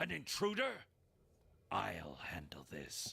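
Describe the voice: This is a put-on character voice, raspy in texture. It moves at a fairly slow pace. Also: man, very deep, low pitch for a man.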